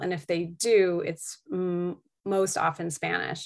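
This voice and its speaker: Speaking in a monotone, flat intonation with an American accent, a woman with a fairly low pitch is heard on a very clean recording with a silent background. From Massachusetts (Beverly, North Shore). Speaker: French professor. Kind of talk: interview conversation.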